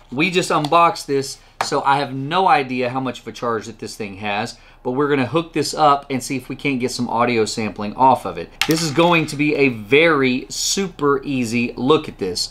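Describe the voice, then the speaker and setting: A man talks at a moderate pace with ordinary pitch variation and hardly any pauses. Light background noise sits behind him. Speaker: tech reviewer. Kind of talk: product review talk. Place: home room.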